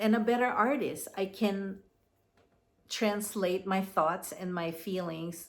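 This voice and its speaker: A woman at a medium pitch and very slow pace, with ordinary pitch variation. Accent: Filipino. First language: Tagalog. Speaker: commentary vlogger. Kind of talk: casual monologue. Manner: halting.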